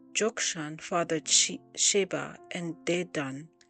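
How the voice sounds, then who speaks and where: Against music in the background, a woman with a fairly low pitch speaks at a very slow pace. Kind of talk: Bible reading. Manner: reading aloud with occasional stumbles.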